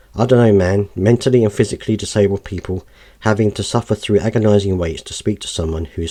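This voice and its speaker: Very fast speech from a man with a British accent, somewhat breathy, dark and mellow, with ordinary pitch variation. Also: very clean recording, silent background. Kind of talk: reading aloud news article; casual commentary.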